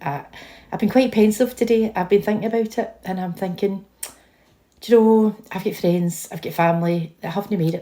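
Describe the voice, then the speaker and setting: A woman with a Scottish accent, dark and mellow in tone, with ordinary pitch variation. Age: 50s. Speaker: vlogger. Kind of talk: casual chat. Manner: animated.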